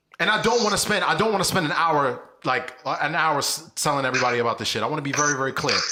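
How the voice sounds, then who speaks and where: A man's fairly high-pitched, animated voice at a very fast pace, with lively intonation, hardly any pauses, audible room echo and noticeable background noise. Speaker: podcast co-host. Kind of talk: casual chat.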